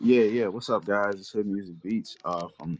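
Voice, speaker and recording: A man with an American accent speaks at a moderate pace. His pitch is fairly low. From US South, Mississippi. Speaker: music producer. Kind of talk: casual self-introduction.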